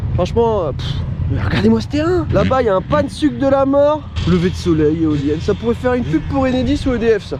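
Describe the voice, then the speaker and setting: Very rapid speech from a man, with noticeable background noise around it. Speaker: motocross vlogger. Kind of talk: casual vlog. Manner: animated.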